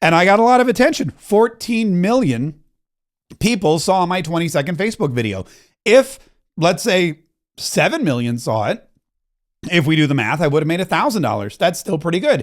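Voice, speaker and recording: A high-pitched man with very wide pitch swings, at a moderate pace with long, frequent pauses, in a very clean recording with a silent background. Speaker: marketing coach and content creator. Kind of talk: motivational tutorial talk to camera. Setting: home studio with microphone and camera. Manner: animated.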